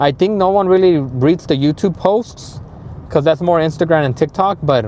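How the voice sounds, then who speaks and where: Over noticeable background noise, a man with a Spanish accent speaks at a moderate pace. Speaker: HVAC instructor. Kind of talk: live stream chat. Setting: live stream. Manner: halting, many fillers.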